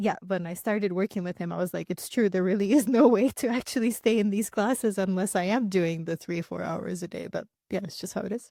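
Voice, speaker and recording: Speaking with a Russian accent, a woman talks at a fairly quick pace and a medium pitch, with ordinary pitch variation. Her tone is dark and mellow, and the sound is dry and close with no echo. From Russia, then Luxembourg and US (Houston). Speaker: singer-songwriter. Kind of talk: interview conversation.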